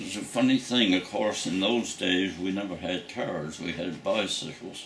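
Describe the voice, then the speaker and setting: A man with a Nova Scotian accent and very deep, low pitch at a fairly slow pace, fairly even intonation, audible room echo and noticeable background noise. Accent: rural Nova Scotian English. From Nova Scotia, Canada (south shore). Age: 90s. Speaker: war veteran. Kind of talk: oral history interview. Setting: at home.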